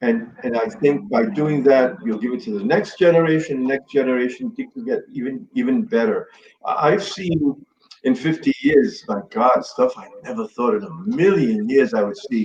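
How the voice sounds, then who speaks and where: A man with an American accent speaks at a moderate pace. His pitch swings very widely and his loudness shifts a great deal. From New York City, Bronx. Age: 60s. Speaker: Stonewall veteran, activist. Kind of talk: interview chat.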